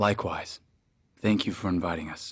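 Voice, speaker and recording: A raspy, very deep put-on character voice from a man, at a moderate pace. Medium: video game. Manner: courteous, formal.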